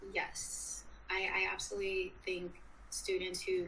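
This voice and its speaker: An American accent heard through audible room echo. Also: woman. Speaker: student journalist. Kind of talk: interview.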